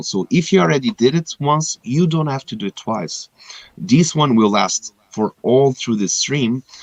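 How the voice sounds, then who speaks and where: A man talks with a non-native accent, his pitch swinging very widely. The sound is dry and close, with no echo. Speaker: game livestream host. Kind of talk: live stream giveaway announcements. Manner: casual, some hesitations.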